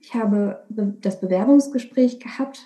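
A woman at a fairly high pitch and moderate pace, an ordinary speaking voice. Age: 20s. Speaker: primary school music teacher. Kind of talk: interview. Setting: video call.

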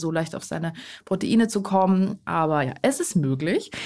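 An ordinary speaking voice at a moderate pace with ordinary pitch variation, on a very clean recording with a silent background. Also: woman. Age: 20s. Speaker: eco blogger and cookbook author. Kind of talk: casual interview chat.

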